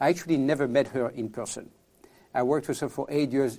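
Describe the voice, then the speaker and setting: Recorded very cleanly against a silent background, a man speaks at a medium pitch with a French accent. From France. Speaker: tech entrepreneur. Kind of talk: podcast interview. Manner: halting, with repetitions.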